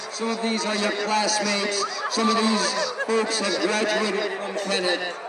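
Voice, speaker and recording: Over crowd noise in the background, a man talks at a fairly slow pace with audible room echo. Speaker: meet announcer. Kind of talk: commentary. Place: stadium.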